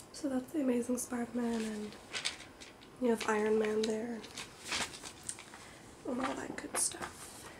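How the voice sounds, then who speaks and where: A soft-spoken woman at a fairly high pitch, relaxed in tone, with fairly even intonation, a fairly slow pace and long, frequent pauses, over noticeable background noise. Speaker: ASMR video creator. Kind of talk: ASMR soft-spoken talk to camera about comics. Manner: soft-spoken, relaxed.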